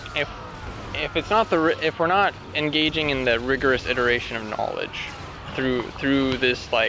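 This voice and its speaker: A man talks in a fairly high pitch with ordinary pitch variation. Noticeable background noise runs underneath. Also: moderate pace. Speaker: podcaster. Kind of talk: casual monologue. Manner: halting, many restarts.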